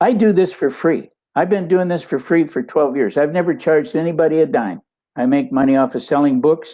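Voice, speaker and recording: With lively intonation, a man with an American accent speaks at a high pitch and a moderate pace. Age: 80s+. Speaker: detransition advocate and author. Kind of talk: interview.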